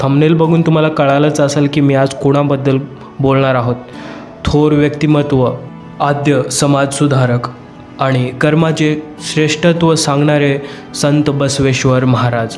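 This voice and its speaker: Music plays in the background as a man talks with a fairly high pitch. His intonation is monotone and flat, and his loudness stays very even. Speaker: voice-over artist. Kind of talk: history narration.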